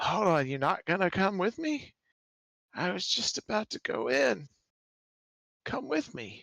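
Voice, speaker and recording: A man uses a put-on character voice, raspy and high-pitched, with very wide pitch swings at a moderate pace. His long, frequent pauses sit in a dry, close sound with no echo. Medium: actual play. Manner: rambling, hesitant.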